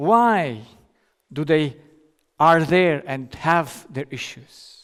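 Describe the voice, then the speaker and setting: A man speaks at a very slow pace. His fairly high voice has lively intonation. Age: 50s. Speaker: doctor giving a lecture. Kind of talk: lecture. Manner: halting, with self-corrections.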